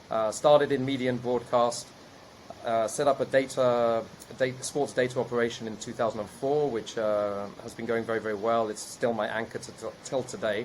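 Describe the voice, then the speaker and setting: Over noticeable background noise, a man with a British accent talks fairly quickly at a medium pitch with fairly even intonation. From UK. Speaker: investor and entrepreneur. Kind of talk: podcast interview.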